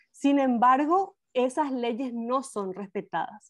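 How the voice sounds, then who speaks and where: A woman at a high pitch and a very slow pace, against a quiet background. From Paraguay. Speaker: documentary film director. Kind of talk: interview. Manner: many hesitations (eh). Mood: serious, concerned. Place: home room.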